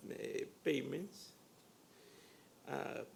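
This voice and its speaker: In a Spanish accent, a man speaks at a very slow pace. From Peru. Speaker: community development lender. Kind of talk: panel discussion. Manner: halting, many fillers.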